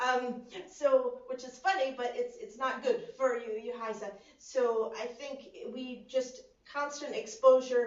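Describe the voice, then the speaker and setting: A woman's high-pitched voice with an American accent, fairly slow pace, ordinary pitch variation, big swings in loudness and audible room echo. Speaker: student election candidate. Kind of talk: election hustings answer. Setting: video conference.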